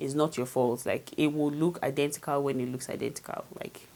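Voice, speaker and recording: Here is a woman speaking. Her pitch is very deep and low. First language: not English. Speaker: beauty vlogger. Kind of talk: tutorial. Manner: casual, chatty.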